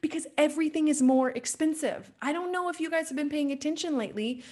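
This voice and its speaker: Loud and animated, the voice moves with ordinary pitch variation. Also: woman. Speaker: podcast host, network marketer. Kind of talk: solo motivational podcast monologue.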